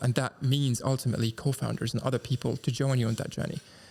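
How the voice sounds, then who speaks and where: His speech comes out very fast. The man's voice has a somewhat breathy quality. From Dubai, UAE. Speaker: entrepreneur. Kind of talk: interview. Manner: fluent, articulate.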